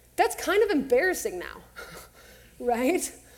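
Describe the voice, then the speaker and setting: Speaking with an American accent at a moderate pace, a woman is heard amid noticeable background noise and audible room echo. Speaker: counselor. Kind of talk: talk to church audience. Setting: stage with audience.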